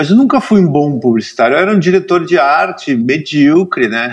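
A man speaks in a normal speaking voice with lively intonation. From Rio Grande do Sul, Brazil (Cachoeira do Sul). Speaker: cartoonist. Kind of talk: casual interview.

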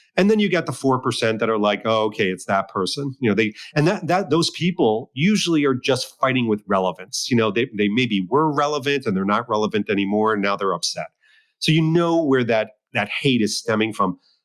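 An unremarkable speaking voice from a man at medium pitch, with lively intonation, a fairly quick pace, very even loudness, and a dry, close sound with no echo against a quiet background. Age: 50s. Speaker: watch collector and James Bond fan website runner. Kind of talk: casual chat.

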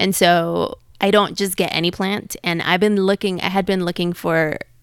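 Speaking at a moderate pace with a Spanish accent, a woman uses a medium pitch in a very clean recording with a silent background. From Mexico City. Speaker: podcast guest, plant enthusiast. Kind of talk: casual chat.

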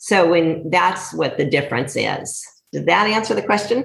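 With audible room echo, a somewhat breathy voice speaks with lively intonation in an American accent. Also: woman. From US West Coast. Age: 50s. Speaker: dairy farmer. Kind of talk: casual interview.

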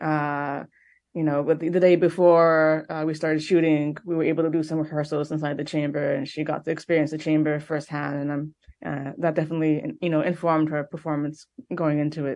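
In a Montreal accent, a woman with a very deep, low pitch talks at a fairly quick pace in a flat monotone. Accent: Montreal, Quebec. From Quebec, Montreal. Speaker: film director. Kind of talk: interview.

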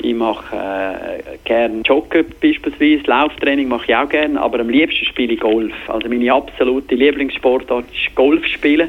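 Over noticeable background noise, a man with a Graubünden accent talks at a moderate pace with hardly any pauses, a fairly high pitch and ordinary pitch variation. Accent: Bündner dialect. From Switzerland, Graubünden (Davos). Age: 40s. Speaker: TV sports presenter. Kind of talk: interview. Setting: phone call.

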